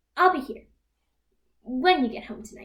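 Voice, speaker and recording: A woman uses a put-on character voice, high-pitched and at a moderate pace. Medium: stage play.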